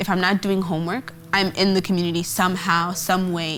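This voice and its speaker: A woman with a fairly low pitch and an American accent, at a moderate pace. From Portland, Oregon (US Pacific Northwest). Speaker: college student. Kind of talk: documentary interview.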